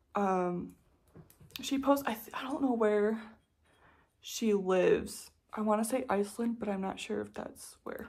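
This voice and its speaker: Somewhat breathy and relaxed in tone, a woman speaks at a fairly high pitch and fairly slow pace, with ordinary pitch variation and long, frequent pauses. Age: 20s. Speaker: knitting vlogger. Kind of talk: casual chat. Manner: relaxed filler-heavy.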